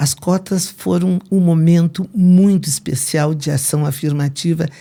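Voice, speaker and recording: This woman's voice has a dark, mellow tone, is somewhat breathy, and shows ordinary pitch variation. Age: 70s. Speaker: retired English professor. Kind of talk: interview.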